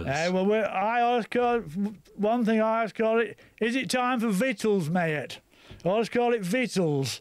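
Loudness stays very even as a man with a high pitch talks at a moderate pace with ordinary pitch variation. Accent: Lincolnshire. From Lincolnshire. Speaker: farmer. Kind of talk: radio phone-in chat. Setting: radio studio.

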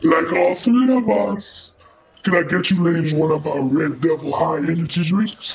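A put-on character voice moves at a moderate pace over noticeable background noise. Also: man, high pitch for a man. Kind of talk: scripted comedy dialogue. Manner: flirty, conspiratorial.

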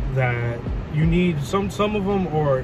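Music plays behind a man whose voice sounds dry, with no echo. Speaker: vlogger. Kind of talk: casual vlog chat. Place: car. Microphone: phone near.

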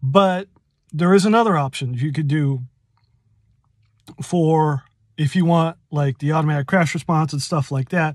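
A man at a moderate pace with ordinary pitch variation and long, frequent pauses, dry with no echo, against a quiet background. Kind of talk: casual tutorial explanation. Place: car. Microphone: phone near.

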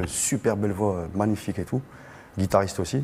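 A man speaks at a fairly quick pace in a fairly low voice. His pitch varies in an ordinary way, over light background noise. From Algeria, Algiers; Algeria. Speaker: singer; guest. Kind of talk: panel discussion. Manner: casual. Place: hall. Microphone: lapel.

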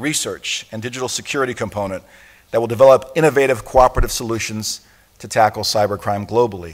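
Ordinary pitch variation carries the voice over a quiet background. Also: man. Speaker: international police organization secretary general giving an opening address. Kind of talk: formal conference opening address. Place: hall. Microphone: podium.

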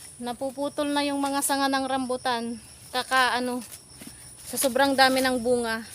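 Noticeable background noise sits behind a woman speaking at a high pitch. She talks fairly slowly, with long, frequent pauses. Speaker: vlogger. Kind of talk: casual vlog narration. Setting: outdoors. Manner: animated.

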